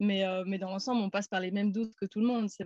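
A woman's plain, everyday voice, medium in pitch and fairly even in intonation, with a dry, close sound and no echo. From Belgium, Namur. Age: 30s. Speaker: van traveller. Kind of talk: casual interview.

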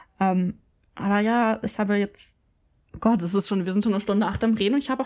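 A woman speaks very fast in a fairly high voice. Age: 20s. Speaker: podcast co-host. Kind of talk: casual chat.

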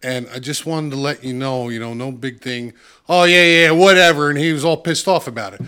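A man with a New Jersey accent, very fast pace, bright, sharp tone and big swings in loudness. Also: fairly high pitch for a man, ordinary pitch variation, very clean recording, silent background. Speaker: saxophonist. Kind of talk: casual chat.

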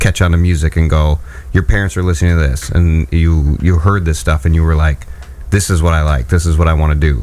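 Noticeable background noise accompanies talking at a fairly quick pace. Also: man. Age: 40s. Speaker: radio co-host. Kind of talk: casual chat.

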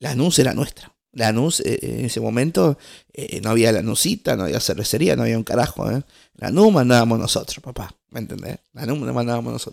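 The recording is very clean with a silent background, and on it a man talks fairly quickly. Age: 20s. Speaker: podcast host. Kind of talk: casual solo monologue. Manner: halting, many fillers and restarts.

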